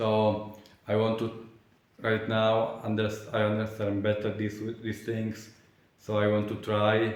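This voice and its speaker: A man's fairly low, monotone voice with flat intonation and long, frequent pauses, in audible room echo. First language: not English. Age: 20s. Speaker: vlogger. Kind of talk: casual vlog monologue. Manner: halting, many fillers and restarts.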